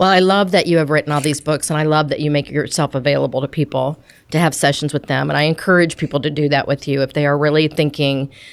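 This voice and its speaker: A woman speaks at a very fast pace with hardly any pauses, her pitch very deep and low. Her intonation is fairly even and her loudness very even, in a very clean recording with a silent background. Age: 60s. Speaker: podcast host. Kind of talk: casual chat. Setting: podcast interview.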